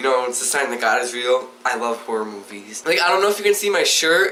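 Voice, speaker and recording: An animated male voice with lively intonation over noticeable background noise. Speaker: vlogger. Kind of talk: casual chat. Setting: bedroom video recording. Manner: halting.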